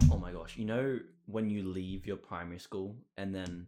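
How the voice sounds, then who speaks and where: A man's fairly low, dark, mellow voice with an Australian accent, fairly even intonation and a moderate pace, on a very clean recording with a silent background. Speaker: podcast co-host. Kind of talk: casual chat. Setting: recording in a broom closet.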